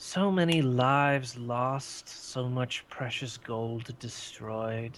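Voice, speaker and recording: A man puts on a character voice, pitched medium and delivered very slowly. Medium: actual play. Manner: grandiose, condescending.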